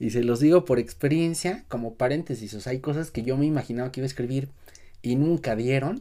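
Speaking at a fairly quick pace, a man with a medium pitch and a dark, mellow tone shows ordinary pitch variation. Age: 30s. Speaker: writing teacher. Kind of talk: tutorial.

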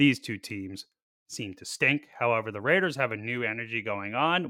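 In a very clean recording with a silent background, a man with a medium pitch and a bright, sharp tone speaks at a fairly quick pace. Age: 30s. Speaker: fantasy football podcast host. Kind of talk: casual chat. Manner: animated.

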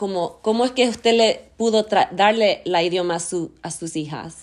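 On a very clean recording with a silent background, a woman with a normal speaking voice and a fairly high pitch speaks with ordinary pitch variation. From US, Argentine roots. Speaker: podcast host. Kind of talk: casual interview. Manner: code-switching English and Spanish.

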